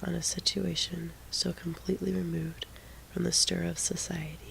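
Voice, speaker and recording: The voice is whispering and soft-spoken. It moves at a moderate pace. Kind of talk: audiobook reading of a classic novel. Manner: soft-spoken, quiet, whispery.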